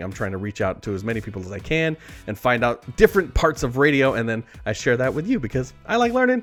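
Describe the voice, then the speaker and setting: A man at medium pitch talks at a fairly quick pace. Music plays in the background. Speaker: radio morning show host. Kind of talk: casual talk to camera.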